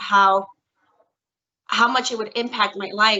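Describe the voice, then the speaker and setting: A woman with a New York accent speaks at a moderate pace, her pitch fairly high and her intonation fairly even. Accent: New York City English. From US Northeast (Bronx, New York City). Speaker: court interpreter. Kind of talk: career talk to students. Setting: video call.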